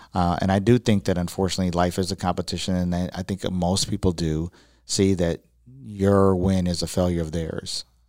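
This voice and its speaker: A man with an American accent and a very deep, low pitch, at a fairly quick pace with fairly even intonation, in a dry, close sound with no echo. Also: very clean recording, silent background. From Chicago. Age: 40s. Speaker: radio broadcaster and business owner. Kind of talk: interview.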